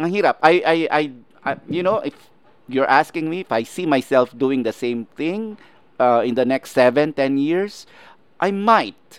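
An ordinary speaking voice from a man, fairly high in pitch, at a fairly slow pace with lively intonation, dry and close with no echo. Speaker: showbiz podcast host. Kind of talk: interview.

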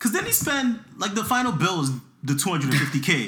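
A man with a high pitch projects a raised voice in a bright, sharp, animated tone. His pitch swings very widely as he speaks at a fairly slow pace. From Toronto area, Canada. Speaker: podcast co-host. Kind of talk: casual chat.

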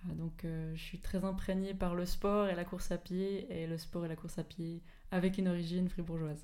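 Amid audible room echo, a woman with a fairly low pitch and a dark, mellow tone speaks at a moderate pace in a monotone, flat intonation. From Switzerland, Fribourg area. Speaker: sports scientist and mountain runner. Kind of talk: interview.

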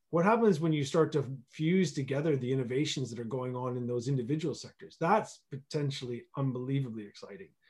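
Somewhat breathy and fairly high-pitched, a man speaks at a fairly quick pace with hardly any pauses and big swings in loudness. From Canada. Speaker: regional economic development executive and planner. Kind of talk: radio interview. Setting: remote call from home region. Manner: animated.

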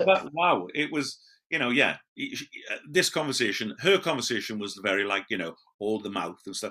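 With a Welsh accent, a man speaks at a moderate pace and medium pitch, using very wide pitch swings and a bright, sharp tone. The recording is very clean, with a silent background. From Wales. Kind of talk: casual chat. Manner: loud.

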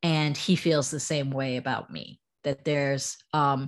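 Here a woman speaks with an American accent. Her pitch is very deep and low. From US. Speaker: startup founder. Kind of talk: casual interview conversation.

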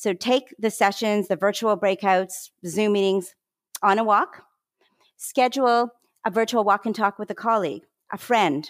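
A woman's normal speaking voice with a Canadian accent, medium-pitched, at a moderate pace with ordinary pitch variation, in a very clean recording, dry and close with no echo and a silent background. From Canada. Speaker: wellness consultant and health behavior scientist. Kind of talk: interview conversation.

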